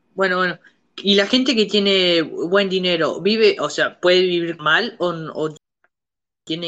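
Using a normal speaking voice, a woman talks at a fairly slow pace in a fairly low pitch with ordinary pitch variation. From Uruguay, Montevideo. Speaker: podcast host. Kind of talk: casual chat.

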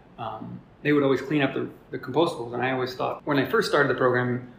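Over noticeable background noise, a man speaks at a very fast pace and medium pitch. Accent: American. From New Jersey. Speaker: small business owner, waste hauler. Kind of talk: interview conversation. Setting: room in a brewery. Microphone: room echo.

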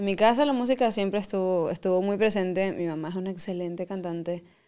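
Speaking with a Venezuelan accent, a woman of medium pitch uses ordinary pitch variation. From Venezuela, llanos region. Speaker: singer. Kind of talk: casual interview chat, Spanish-English code-switching.

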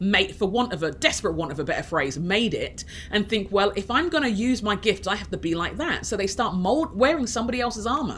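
A woman speaks at a fairly quick pace with an English accent. Her medium pitch swings very widely. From inner city London, England. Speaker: author and leadership coach. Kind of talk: casual interview chat. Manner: halting, with frequent restarts.

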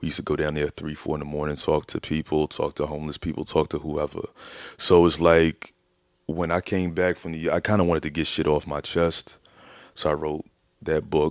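In a very clean recording with a silent background, a man with an American accent speaks in a very deep, low pitch. He moves at a fairly quick pace with monotone, flat intonation. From Philadelphia. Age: 30s. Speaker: author. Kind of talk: casual interview.

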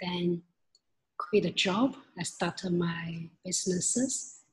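A woman's fairly low, somewhat breathy voice with a Chinese accent, at a very slow pace. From China, rural village. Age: 30s. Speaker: leadership consultant and entrepreneur. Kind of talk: interview. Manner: halting.

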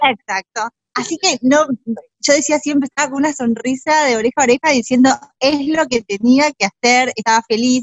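A woman talks at a moderate pace. Her high voice shows ordinary pitch variation. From Argentina, Buenos Aires province. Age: 40s. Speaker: stylist and decorator. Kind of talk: interview.

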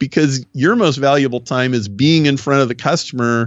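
A man with an American accent, medium in pitch, with ordinary pitch variation. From US Midwest, Nebraska. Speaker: business consultant. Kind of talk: interview. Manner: animated.

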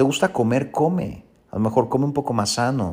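Over a silent background in a very clean recording, a man with a plain, everyday voice talks at a moderate pace, medium in pitch with ordinary pitch variation. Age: 40s. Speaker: podcast host. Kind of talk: solo podcast monologue.

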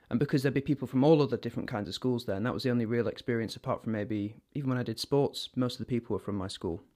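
Recorded very cleanly against a silent background, a man with a northern English accent speaks with ordinary pitch variation. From northern England. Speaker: actor. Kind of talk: interview, personal storytelling.

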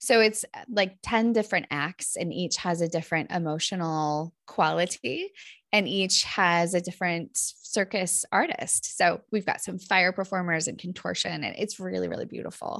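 A normal speaking voice from a woman with an American accent, medium pitch, ordinary pitch variation, moderate pace and hardly any pauses. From Northern California. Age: 40s. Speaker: clinical psychologist and author. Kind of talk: interview, personal storytelling.

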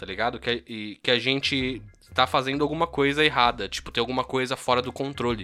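His tone bright and sharp, a man talks at a fairly quick pace with fairly even intonation. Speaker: podcast co-host. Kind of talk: casual chat.

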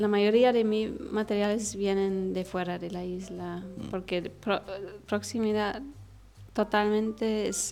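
Over music in the background, a woman with a German accent speaks very slowly at medium pitch, her intonation monotone and flat. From Egypt. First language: German (speaking Spanish). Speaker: architect and furniture artisan. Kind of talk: interview. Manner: halting, many fillers and restarts.

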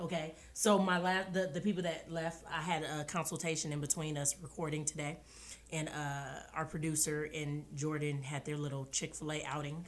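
A woman speaks with a very deep, low pitch. Her tone is animated and her pace moderate. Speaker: podcast co-host. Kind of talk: casual chat.

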